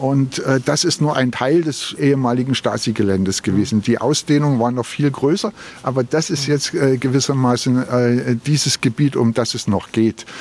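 Moderately paced male speech at a medium pitch, the pitch shifting in an ordinary way, with noticeable noise behind it. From Berlin. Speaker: local politician. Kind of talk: walking interview. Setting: outdoors.

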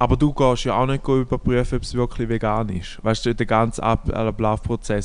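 Monotone and flat, a man's medium-pitched voice moves at a fairly quick pace. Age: 20s. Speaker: podcast co-host. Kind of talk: casual chat.

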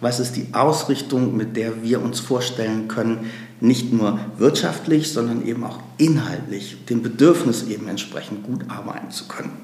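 Speech at a moderate pace with ordinary pitch variation is heard with audible room echo and noticeable background noise. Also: man, medium pitch for a man. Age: 50s. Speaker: nonprofit executive, lawyer. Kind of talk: interview.

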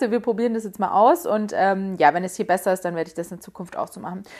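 Very fast and full of lively intonation, a woman's speech races along. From Munich, Bavaria. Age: 20s. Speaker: podcast host and influencer. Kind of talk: solo Q&A casual talk. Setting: home bedroom.

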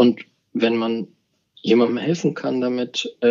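This is a man with a medium-pitched voice. He talks at a fairly slow pace. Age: 40s. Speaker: bank executive. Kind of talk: interview.

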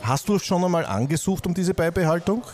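A man keeps a moderate pace as noticeable background noise continues. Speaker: podcast host. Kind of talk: interview. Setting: Viennese coffee house with background noise.

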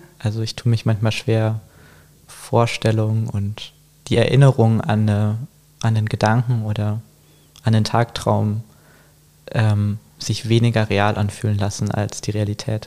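Speaking in a monotone, flat way, a man has a fairly low pitch and a dark, mellow tone. His pace is fairly slow, with long, frequent pauses. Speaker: artist. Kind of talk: casual chat. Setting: in-person, both wearing headphones. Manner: hesitant, many fillers.

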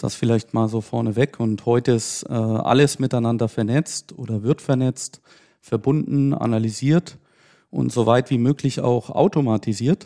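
Dark and mellow in tone, this voice moves at a fairly slow pace with ordinary pitch variation, recorded very cleanly against a silent background with a dry, close sound and no echo. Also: man, medium pitch for a man. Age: 30s. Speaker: IT security company executive. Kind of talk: podcast interview.

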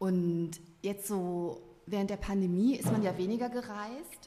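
A woman's medium-pitched, fairly even delivery in a plain, everyday voice. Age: 40s. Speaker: novelist. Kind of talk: casual chat. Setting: studio.

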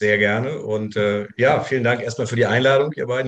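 A man's normal speaking voice at medium pitch, fairly quick in pace, with fairly even intonation. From Saarland (Saarbrücken). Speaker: former American football player. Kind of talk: casual chat.

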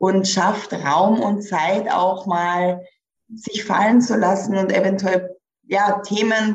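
A woman's medium-pitched, somewhat breathy voice with fairly even intonation and audible room echo. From rural village. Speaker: career coach. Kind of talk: podcast interview.

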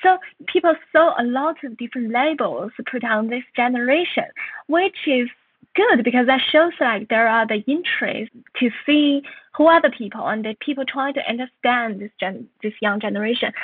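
This woman has a high-pitched voice. Her intonation is lively. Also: moderate pace. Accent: Chinese. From northern China. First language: Mandarin Chinese. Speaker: author and journalist. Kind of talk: interview.

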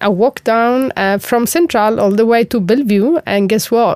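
In an Italian accent, a woman speaks at a moderate pace with a fairly high voice and lively intonation, the sound dry and close with no echo. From Sicily, Italy. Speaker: chemist and corporate executive. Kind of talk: interview.

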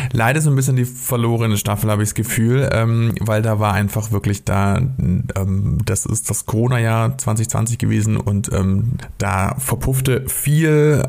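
This man has a medium pitch and ordinary pitch variation, speaking at a fairly slow pace with very even loudness amid noticeable background noise. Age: 30s. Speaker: podcast co-host, freelance writer. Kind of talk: casual chat.

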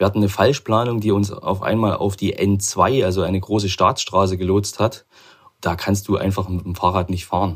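Somewhat breathy and fairly low-pitched, a man speaks at a moderate pace with fairly even intonation. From Chemnitz, Saxony, eastern Germany. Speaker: regional sales manager, amateur cyclist. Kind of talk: casual interview. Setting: home office.

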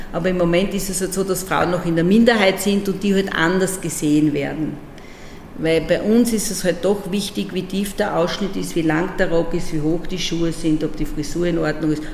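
Over noticeable background noise, a woman speaks at a moderate pace with a fairly low pitch. The room echo is audible. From Austria, Burgenland (Breitenbrunn am Neusiedler See). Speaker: regional parliament president. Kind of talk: interview conversation. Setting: parliament building. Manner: lively.

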